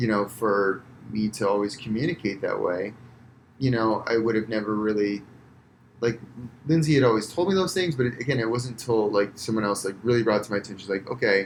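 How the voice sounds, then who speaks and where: A man speaks at a medium pitch and a fairly quick pace. His pitch varies in an ordinary way. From US, Florida. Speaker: physical therapist, entrepreneur. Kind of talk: casual podcast interview. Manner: loud when passionate; many fillers, halting.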